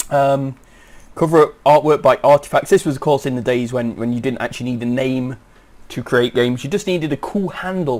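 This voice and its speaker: Fairly quick in pace, a man talks with an unremarkable speaking voice. His pitch is medium, with ordinary variation. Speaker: let's play commentator. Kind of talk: casual gameplay commentary.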